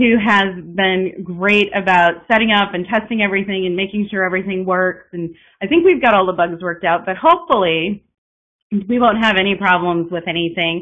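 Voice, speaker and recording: Fairly quick pace and fairly even intonation. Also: woman. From Texas. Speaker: piano teacher. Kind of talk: webinar presentation. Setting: online webinar. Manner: fast; drops pitch at sentence ends. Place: home room. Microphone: webcam.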